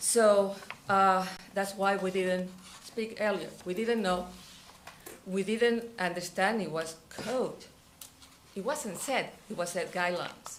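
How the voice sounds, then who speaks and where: A woman with a non-native accent speaks very slowly at medium pitch, with long, frequent pauses and audible room echo. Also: fairly even intonation. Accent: foreign. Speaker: resident speaking at public comment. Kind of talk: public comment at council meeting.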